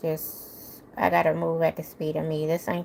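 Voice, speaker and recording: A woman at a moderate pace. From New Orleans, Louisiana. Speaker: YouTuber. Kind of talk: casual livestream chat. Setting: live stream.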